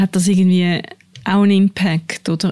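With noticeable background noise, a woman talks at a fairly quick pace in a dry, close sound with no echo. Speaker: podcast host, journalist. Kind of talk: casual chat. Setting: studio.

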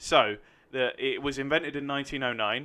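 A man with a London accent, at a moderate pace. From London, England (New Southgate/Enfield). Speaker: actor. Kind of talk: casual chat; reading aloud.

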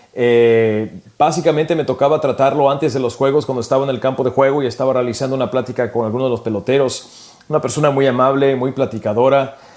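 A man with medium pitch talks at a very fast pace with hardly any pauses and fairly even intonation. Noticeable background noise is present. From California, Mexican-American family from Michoacán. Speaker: sports radio broadcaster. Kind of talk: casual chat.

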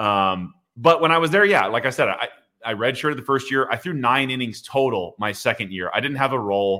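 A man with a normal speaking voice talks at a medium pitch and a fairly quick pace, his intonation lively. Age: 30s. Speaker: former minor league baseball pitcher and sports podcast host. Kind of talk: casual interview chat.

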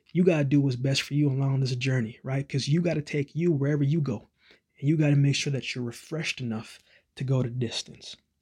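The voice is somewhat breathy with a warm tone and fairly even intonation, moving at a very fast pace. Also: man, fairly high pitch for a man. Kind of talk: pep talk. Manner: earnest, encouraging, warm and reassuring; direct, rhythmic, repeating phrases for emphasis.

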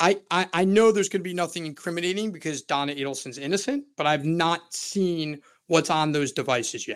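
High-pitched man with an American accent, ordinary pitch variation, a fairly quick pace and hardly any pauses. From Florida. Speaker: criminal defense attorney. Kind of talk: interview. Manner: halting, repeats words.

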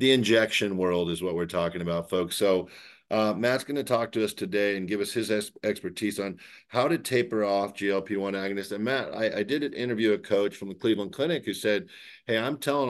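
A man with a normal speaking voice talks at a fairly quick pace and a fairly low pitch. His pitch varies an ordinary amount against a quiet background. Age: 50s. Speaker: podcast host, healthcare author. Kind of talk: interview.

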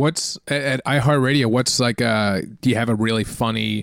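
Recorded very cleanly over a silent background, a man speaks in an unremarkable speaking voice at medium pitch, moderate pace and ordinary pitch variation. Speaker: podcast co-host. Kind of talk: casual comedy banter. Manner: joking, riffing.

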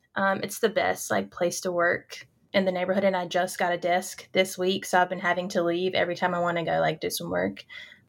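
With a North Carolina accent, a woman talks fairly quickly in a fairly low pitch with vocal fry, monotone, flat intonation and hardly any pauses. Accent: Southern US, North Carolina. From North Carolina, small farm town. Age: 20s. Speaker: grad student. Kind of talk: casual interview chat.

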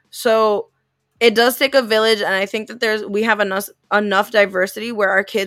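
A woman talks in a normal speaking voice at a medium pitch. Her intonation is fairly even and her pace fairly quick. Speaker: podcast co-host. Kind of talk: casual podcast chat.

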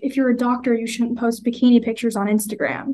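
Someone with an American accent talks at a very fast pace in a monotone, flat delivery. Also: woman. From US, Indian immigrant family. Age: 20s. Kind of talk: casual chat. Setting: video call.

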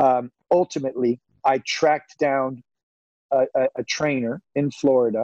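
A man with an American accent has a fairly high pitch and a dark, mellow tone. He speaks very slowly, and the sound is dry and close with no echo. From Northern California. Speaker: golf media personality, former photo editor. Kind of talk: interview. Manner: halting, many fillers.

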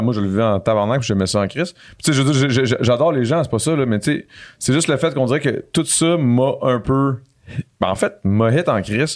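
A man speaks at a moderate pace with a Quebec accent, his medium pitch showing ordinary variation and his loudness very even, on a very clean recording with a silent background. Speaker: real estate investor. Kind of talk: casual chat. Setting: studio.

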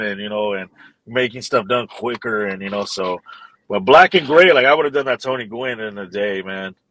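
A bright, sharp tone in an American accent at a moderate pace, dry and close with no echo. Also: man. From Los Angeles. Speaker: street artist. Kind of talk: casual interview.

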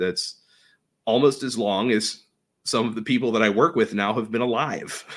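With a Pittsburgh accent, a man speaks at medium pitch and a moderate pace with fairly even intonation, on a very clean recording with a silent background. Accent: western Pennsylvania (Pittsburgh). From Pittsburgh area, western Pennsylvania. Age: 30s. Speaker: baseball superfan. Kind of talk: casual chat. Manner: halting, repeats words.

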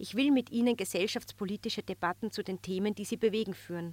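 A woman with a plain, everyday voice speaks at a fairly quick pace, her medium pitch moving with ordinary variation, in a very clean recording with a silent background and a dry, close sound with no echo. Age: 30s. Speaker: magazine editor-in-chief. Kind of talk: scripted narration. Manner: formal.

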